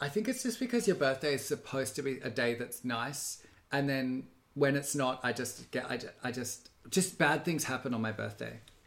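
Speaking with an Australian accent, a man keeps a medium pitch and a moderate pace. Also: ordinary pitch variation. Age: 30s. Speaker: podcast co-host. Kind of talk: casual chat.

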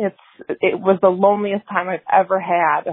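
At a moderate pace, a woman speaks in a plain, everyday voice of medium pitch. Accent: American. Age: 30s. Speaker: caller. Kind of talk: testimony. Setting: phone call.

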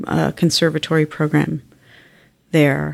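A woman speaks with a very deep, low pitch. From Canada, West Island of Montreal. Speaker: arts organization executive. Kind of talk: interview. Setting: office.

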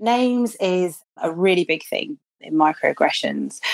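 A woman's voice at a fairly slow pace, dry and close with no echo. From Birmingham, England. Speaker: inclusion consultant. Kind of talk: interview.

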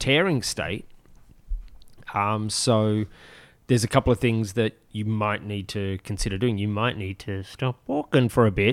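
Fairly low in pitch, a man talks in a plain, everyday voice at a fairly slow pace with fairly even intonation. The very clean recording has a silent background and a dry, close sound with no echo. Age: 40s. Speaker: podcast co-host, fitness enthusiast. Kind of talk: casual chat.

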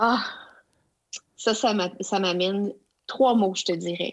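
A woman speaks very slowly, her pitch medium and her intonation fairly even. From Quebec (Abitibi, Outaouais). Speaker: education consultant. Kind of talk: interview. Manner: halting.

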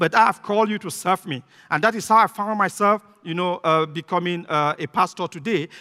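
A man's raised, projected voice with a bright, sharp tone, fairly quick pace, ordinary pitch variation and a dry, close sound with no echo. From Cameroon. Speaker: visiting pastor. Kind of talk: sermon. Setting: church. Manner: fast talker.

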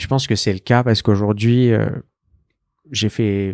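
A man speaks at a medium pitch with ordinary pitch variation, recorded very cleanly against a silent background. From Paris, France. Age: 20s. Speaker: fashion brand founder. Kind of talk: casual interview. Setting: in a shop.

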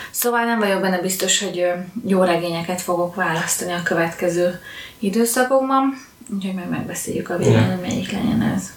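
A woman talks at a medium pitch and fairly quick pace with ordinary pitch variation. There is audible room echo and noticeable background noise. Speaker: book podcast co-host. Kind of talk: casual chat.

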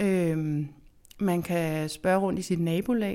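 A woman's fairly low voice comes through in a very clean recording, the background completely silent. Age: 40s. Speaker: architect and seed enthusiast. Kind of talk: interview. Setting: indoor backhouse. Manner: hesitant with fillers.

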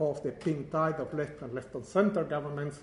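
A man at a moderate pace, with audible room echo. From Uruguay. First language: Spanish. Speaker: professor. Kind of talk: lecture.

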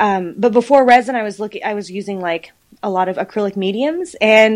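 She has a normal speaking voice with a fairly high pitch. The woman talks at a moderate pace in an American accent. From Texas (Houston, Dallas-Fort Worth). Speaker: artist. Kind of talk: interview.

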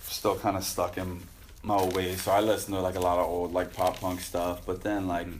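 Noticeable background noise runs under a man's very deep, low voice. He speaks at a fairly quick pace in a monotone, flat intonation. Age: 30s. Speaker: pro BMX rider and judge. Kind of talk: casual interview chat. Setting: garage.

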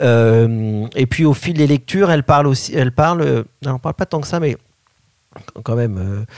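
The sound is dry and close with no echo as a man speaks with lively intonation. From France, Paris. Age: 40s. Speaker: Montessori educator and school founder. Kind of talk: interview. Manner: halting.

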